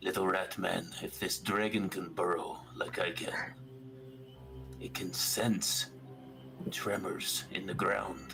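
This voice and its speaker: Clear music plays in the background as a man uses a put-on character voice at a fairly slow pace, with long, frequent pauses. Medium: actual play.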